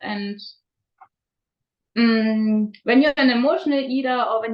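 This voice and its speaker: At a fairly slow pace, a woman with a non-native accent speaks at a fairly high pitch with ordinary pitch variation. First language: not English. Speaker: raw food diet coach. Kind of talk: interview. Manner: halting, many fillers.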